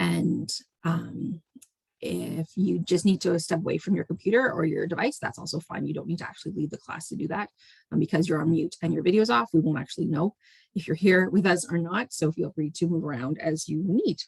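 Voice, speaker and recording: A woman with a Canadian accent speaks at a fairly quick pace in a fairly low pitch with vocal fry and ordinary pitch variation, the sound dry and close with no echo. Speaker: math teacher. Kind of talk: online lesson. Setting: radio/video call broadcast. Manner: fast; casual, informal.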